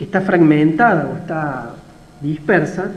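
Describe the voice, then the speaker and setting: Fairly even intonation comes through alongside noticeable background noise and audible room echo. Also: man. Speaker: university lecturer. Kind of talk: lecture. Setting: video call.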